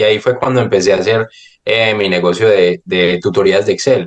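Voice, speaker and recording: A man speaks at a fairly low pitch and moderate pace. His pitch shifts in an ordinary way. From Colombia, Medellín. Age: 20s. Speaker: real estate investor. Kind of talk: podcast interview. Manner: hesitant, many fillers and repetitions.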